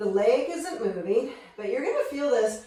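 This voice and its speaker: Amid noticeable background noise and audible room echo, a woman speaks with ordinary pitch variation. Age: 50s. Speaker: fitness instructor. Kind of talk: workout instruction. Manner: energetic.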